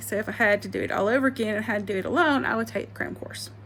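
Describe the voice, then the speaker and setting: A woman with an Alabama accent at a fairly quick pace. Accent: Alabama Southern. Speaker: vlogger, former real estate agent. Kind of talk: casual advice vlog. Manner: casual, hesitant with many fillers.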